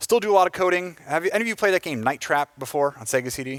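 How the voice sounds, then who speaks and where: On a very clean recording with a silent background, a man with an American accent swings very widely in pitch. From United States. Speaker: software engineer giving a conference talk. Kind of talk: conference talk. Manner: casual, with many filler words.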